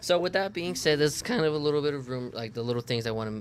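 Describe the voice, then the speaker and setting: A man's lively intonation, set against noticeable noise in the background. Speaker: gaming streamer. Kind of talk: live gameplay stream commentary. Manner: halting, many fillers and self-corrections; casual.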